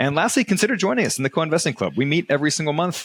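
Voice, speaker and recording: A man talks very fast in an American accent. The sound is dry and close with no echo, and his pitch varies in an ordinary way. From United States. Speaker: real estate investing podcast host. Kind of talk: casual podcast discussion; podcast outro with promotion. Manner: hesitant, many fillers.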